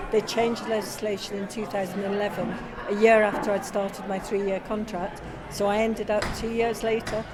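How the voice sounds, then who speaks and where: A woman with a medium-pitched voice speaks at a fairly quick pace in a flat monotone, with audible room echo and noticeable background noise. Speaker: pension campaigner. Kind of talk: interview.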